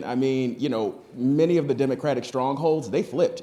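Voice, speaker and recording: A man is speaking. He has an American accent. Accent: Southern accent, comes out at times. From Texas. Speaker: cannabis industry panelist. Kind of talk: conference panel discussion. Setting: stage with audience.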